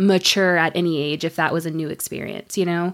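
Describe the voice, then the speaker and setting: In an ordinary speaking voice, a woman with an American accent speaks at a medium pitch and a moderate pace on a very clean recording with a silent background. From US South, northeast Florida. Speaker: virtual assistant. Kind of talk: casual interview chat.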